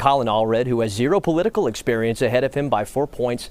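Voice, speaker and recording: A man talks in a normal speaking voice at a medium pitch. His intonation is lively. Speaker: TV news reporter. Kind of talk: live field report for a TV newscast.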